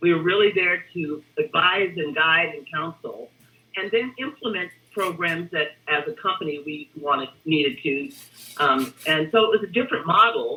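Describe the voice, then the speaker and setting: An ordinary speaking voice from a woman, fairly low in pitch, at a moderate pace, with lively intonation and big swings in loudness. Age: 60s. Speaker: retired human resources executive. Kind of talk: interview. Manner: conversational.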